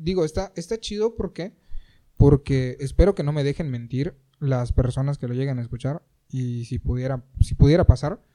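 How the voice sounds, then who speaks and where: A man speaks with a dark, mellow tone at a fairly high pitch. His intonation is lively, and his loudness swings a lot. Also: moderate pace. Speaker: podcast co-host. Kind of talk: casual chat.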